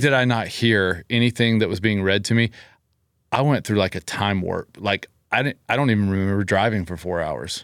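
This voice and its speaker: In a plain, everyday voice with an American accent, the speaker talks at a moderate pace with ordinary pitch variation, and the recording is very clean with a silent background and a dry, close sound with no echo. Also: man. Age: 40s. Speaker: gym owner. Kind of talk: casual chat.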